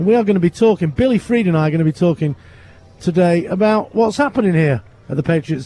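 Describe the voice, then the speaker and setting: A man with a British accent speaks at a very fast pace, his high pitch carrying lively intonation. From England. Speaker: radio host. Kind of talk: live commentary. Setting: standing in a window above the street.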